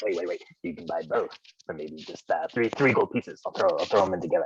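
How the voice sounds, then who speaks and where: In a raspy, put-on character voice, a man speaks at a very fast pace. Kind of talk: fantasy game shop. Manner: pushy, wheedling.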